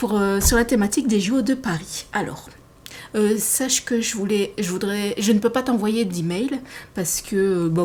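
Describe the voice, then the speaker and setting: Ordinary pitch variation in a somewhat breathy voice, delivered at a moderate pace. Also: woman. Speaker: sewing hobbyist vlogger. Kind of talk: casual podcast monologue, partly reading notes. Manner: hesitant, many fillers.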